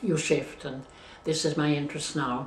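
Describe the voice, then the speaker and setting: There is audible room echo around this woman's very deep, low voice. She talks at a fairly slow pace with fairly even intonation. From Switzerland. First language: Swiss German. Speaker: interviewee. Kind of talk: life story interview. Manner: halting.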